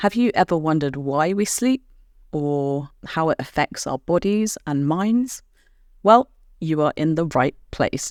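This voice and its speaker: At a fairly slow pace, a woman with a British accent speaks at a very deep, low pitch with lively intonation, the sound dry and close with no echo. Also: very clean recording, silent background. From Britain. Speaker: podcast host and English teacher. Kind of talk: educational podcast for language learners. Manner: clear, measured pace for learners.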